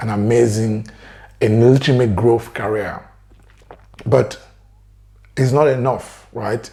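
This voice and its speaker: A somewhat breathy man talks at a very slow pace in a dark, mellow tone. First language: French. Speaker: career coach. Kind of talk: motivational talk to camera.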